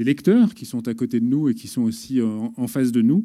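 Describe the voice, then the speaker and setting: In a very clean recording with a silent background, a man speaks at medium pitch with a dark, mellow tone. His pace is fairly slow and his pitch varies in an ordinary way. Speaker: journalist. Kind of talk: public debate talk. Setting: stage with audience.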